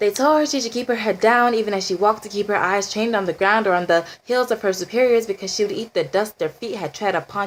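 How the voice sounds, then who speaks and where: A woman talks at a fairly quick pace in an ordinary speaking voice, medium in pitch with ordinary pitch variation. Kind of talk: spoken word poetry.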